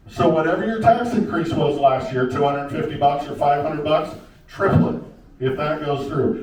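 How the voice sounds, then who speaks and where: A man's voice with lively intonation at a moderate pace, with audible room echo and noticeable background noise. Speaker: county commissioner candidate. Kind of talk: candidate forum debate. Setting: public meeting with audience.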